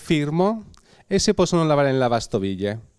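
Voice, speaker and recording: A man speaks with a Spanish accent at a fairly high pitch. The background is quiet. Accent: Spanish accent in Italian. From Spain, Bilbao (Basque Country); Basque Country, Spain. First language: Spanish (speaking Italian). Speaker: glassblower artisan. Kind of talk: product presentation interview. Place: shop. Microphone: handheld.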